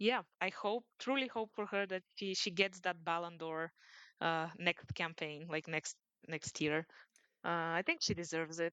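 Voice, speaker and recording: In a Bulgarian accent, a woman speaks at a fairly slow pace. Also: fairly low pitch for a woman, ordinary pitch variation. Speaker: sports journalist, podcast co-host. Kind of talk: casual podcast discussion. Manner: hesitant, many fillers.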